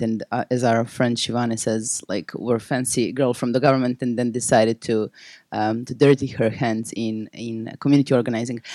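In a very clean recording with a silent background and a dry, close sound with no echo, a voice with a Serbian accent and a dark, mellow tone speaks in a monotone, flat way with hardly any pauses. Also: woman. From Serbia (Belgrade). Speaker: nonprofit founder and activist. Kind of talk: panel presentation.

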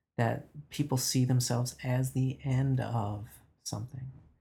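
The man's voice sits at a medium pitch, with a dark, mellow tone and a somewhat breathy quality. He speaks at a fairly slow pace in a monotone, flat intonation. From Newfoundland, Canada (mining towns). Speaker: novelist. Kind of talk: interview conversation. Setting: office.

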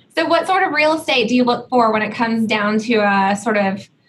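Somewhat breathy, a woman with an American accent speaks at a fairly high pitch. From Georgia, US South (Atlanta). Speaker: podcast host, commercial real estate executive. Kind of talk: interview.

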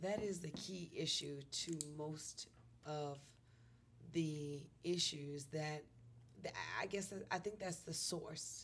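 A somewhat breathy voice, very slow and fairly even in intonation, with long, frequent pauses. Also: woman, very deep, low pitch for a woman. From New York City. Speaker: comedian. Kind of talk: casual chat. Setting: studio.

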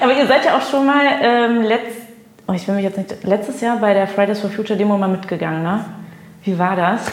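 Amid noticeable background noise and audible room echo, a woman with a medium-pitched voice speaks at a fairly quick pace with ordinary pitch variation. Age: 20s. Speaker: radio host. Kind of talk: casual interview chat.

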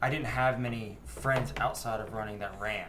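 A man talks at a moderate pace and medium pitch with fairly even intonation. Noticeable background noise sits behind him. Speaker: run club member. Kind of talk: casual interview chat.

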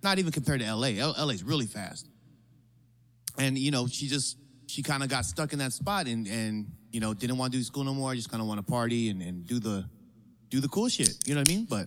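A man's ordinary speaking voice at a medium pitch, with lively intonation and a fairly quick pace. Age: 30s. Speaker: podcast host. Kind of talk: casual chat. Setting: bar.

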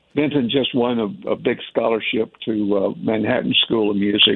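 With an American accent, a man talks at a moderate pace amid noticeable background noise. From Tennessee, US South. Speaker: jazz saxophonist. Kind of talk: radio interview. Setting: phone call.

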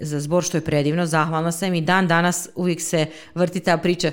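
At a fairly quick pace, a woman talks in an unremarkable speaking voice with a fairly low pitch. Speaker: speech therapist. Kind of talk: interview.

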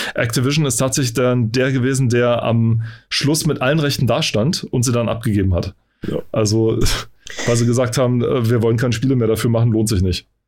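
A man talks at a fairly quick pace with a plain, everyday voice. His intonation is fairly even and his loudness very even. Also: medium pitch for a man. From eastern Germany. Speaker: podcast host. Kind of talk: casual chat.

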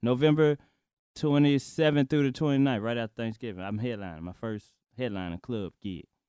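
A man with an American accent speaks at a medium pitch and a fairly quick pace, his tone dark and mellow and his intonation lively. The recording is very clean with a silent background, the sound dry and close with no echo. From Chicago, then Memphis. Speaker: stand-up comedian. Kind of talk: casual interview chat.

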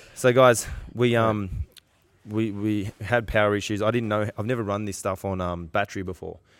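A man talks at a moderate pace with an Australian accent. His intonation stays fairly even. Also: fairly low pitch for a man. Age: 30s. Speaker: podcast host, jiu-jitsu coach. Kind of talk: casual chat. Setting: gym.

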